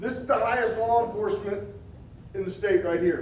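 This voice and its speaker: A loud, high-pitched man's voice with ordinary pitch variation, audible room echo, and noticeable background noise. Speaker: public outreach manager, consumer protection speaker. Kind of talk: community presentation. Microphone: mic turned down, prefers talking without it.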